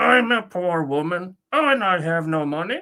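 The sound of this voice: This is a put-on character voice with a croaky sound. The pitch sits in the middle range. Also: moderate pace.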